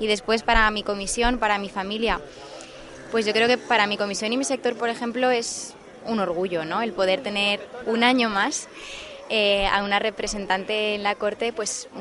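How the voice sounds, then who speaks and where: Fairly high pitch from a woman with fairly even intonation at a moderate pace, over noticeable background noise. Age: 20s. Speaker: festival queen candidate. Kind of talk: interview. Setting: outdoors in gardens.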